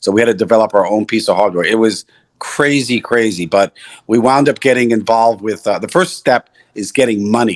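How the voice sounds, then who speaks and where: A man with an American accent talks at a fairly quick pace in a fairly low voice. His intonation stays fairly even, and the sound is dry and close with no echo. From New York City. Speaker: entrepreneur. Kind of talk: interview. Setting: video call.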